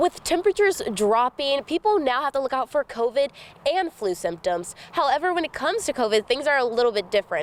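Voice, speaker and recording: A woman at a very fast pace, high-pitched with very wide pitch swings, in a dry, close sound with no echo and noticeable background noise. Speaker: news reporter. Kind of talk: TV news report.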